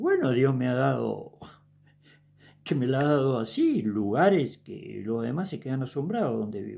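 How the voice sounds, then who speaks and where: A man speaks in an Argentine accent. His pace is fairly slow. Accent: Rioplatense Argentine Spanish. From Argentina. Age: 70s. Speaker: evangelist preacher. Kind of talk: sermon. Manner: casual, conversational.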